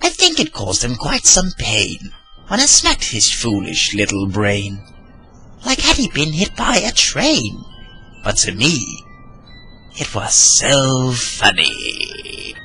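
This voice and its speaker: Using a put-on character voice, a man of medium pitch delivers his lines in a sing-song way at a fairly slow pace, with long, frequent pauses and clear music in the background. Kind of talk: narrated dark poem. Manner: childish, sing-song.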